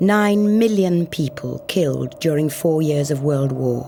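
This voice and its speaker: A woman's fairly low voice at a very slow pace, solemn in tone yet lively in intonation, over music in the background. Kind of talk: documentary narration. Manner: reflective, solemn.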